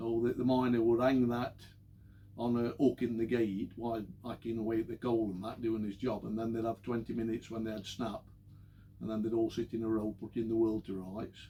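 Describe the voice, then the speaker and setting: A man's dark, mellow voice at medium pitch, fairly quick, with monotone, flat intonation. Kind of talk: oral history talk. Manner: casual, anecdotal.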